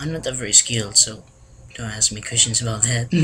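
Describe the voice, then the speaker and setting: A man with a Filipino accent talks very fast at a medium pitch, with ordinary pitch variation. There is noticeable background noise. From Philippines. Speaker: vlogger. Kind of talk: casual vlog monologue. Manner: halting, with many restarts.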